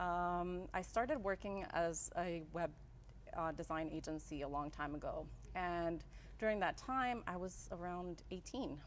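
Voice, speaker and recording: Fairly slow, fairly low speech from a woman with a Spanish accent and ordinary pitch variation. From El Salvador, raised in Las Vegas from childhood. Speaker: graphic designer, business owner. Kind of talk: interview. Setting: live-streamed show.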